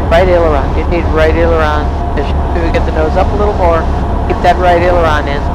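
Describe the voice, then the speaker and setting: Dry sound with no echo carries fairly quick speech over loud background noise. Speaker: flight instructor. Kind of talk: flight instruction in the cockpit, casual coaching. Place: plane.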